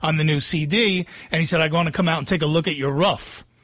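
With a New Jersey accent, a man speaks at a fairly quick pace in a fairly high voice with fairly even intonation. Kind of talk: casual chat. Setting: studio.

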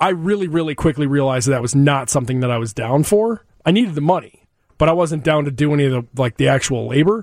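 This man talks at a very fast pace, his fairly high pitch carried by lively intonation. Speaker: radio show host. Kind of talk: casual interview chat. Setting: studio.

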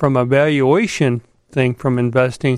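A man with an American accent has an unremarkable speaking voice of medium pitch and fairly even intonation, heard in a dry, close sound with no echo. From Chicago. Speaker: investment firm founder and Air Force veteran. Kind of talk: radio interview. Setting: studio.

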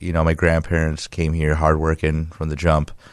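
Here a man talks with a Chicago accent and a very deep, low pitch. The recording is very clean, with a silent background. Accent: Chicago American English. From Chicago area, US. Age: 30s. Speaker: muralist and artist. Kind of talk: casual interview.

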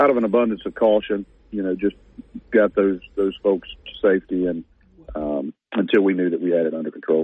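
A man's fairly low-pitched voice at a moderate pace. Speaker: parish sheriff. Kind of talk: radio interview. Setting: phone call.

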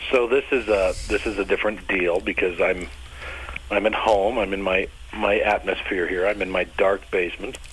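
A man's fairly low voice over noticeable background noise. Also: ordinary pitch variation, moderate pace. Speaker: bass player. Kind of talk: casual interview.

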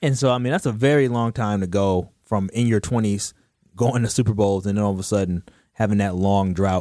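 On a very clean recording with a silent background, a man with a fairly low pitch and a dark, mellow tone talks at a fairly quick pace, with ordinary pitch variation and very even loudness. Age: 30s. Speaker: sports radio co-host. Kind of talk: casual sports chat. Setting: radio studio.

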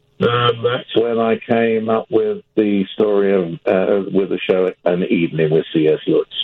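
A man with a British accent speaks at a fairly slow pace and a fairly low pitch. His loudness stays very even, with hardly any pauses. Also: ordinary pitch variation. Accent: British-sounding. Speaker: actor and playwright. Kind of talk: radio interview. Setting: studio.

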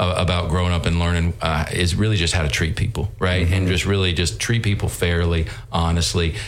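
In a Southern US accent, a man with a very deep, low voice talks at a fairly quick pace with hardly any pauses, keeping his loudness very even and his intonation fairly even. Audible room echo and noticeable background noise fill the recording. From North Carolina. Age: 50s. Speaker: business owner. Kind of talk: interview. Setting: studio.

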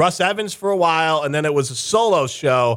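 Captured on a very clean recording with a silent background, a man with an unremarkable speaking voice and a fairly high pitch talks at a fairly quick pace with lively intonation. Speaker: radio host and former producer. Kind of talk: radio host patter. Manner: chatty, teasing, jokey.

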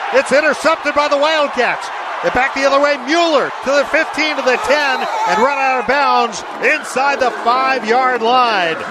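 A man's raised, projected voice at an extremely high pitch, very even in loudness and moderate in pace, over noticeable background noise. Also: ordinary pitch variation. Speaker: sports radio announcer. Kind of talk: live sports commentary, game recap.

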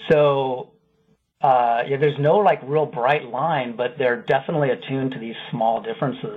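A man with an American accent has a normal speaking voice, fairly high in pitch. He talks at a moderate pace with ordinary pitch variation. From Iowa. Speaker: linguistics professor. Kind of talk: radio interview.

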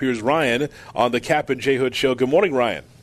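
Fairly quick in pace, a man speaks at medium pitch. He has an unremarkable speaking voice. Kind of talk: radio host patter: a crisp news read, then a bright station ID and app plug.

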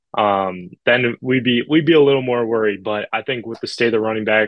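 This is a normal speaking voice at a medium pitch, belonging to a man. His intonation stays fairly even and his pace moderate. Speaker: recruiting insider/sports journalist. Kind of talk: radio interview, casual analysis.

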